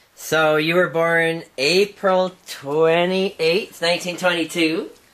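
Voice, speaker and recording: Over noticeable background noise, a man with a high pitch speaks very slowly in a monotone, flat intonation. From Saskatoon, Canada. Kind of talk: interviewer questions.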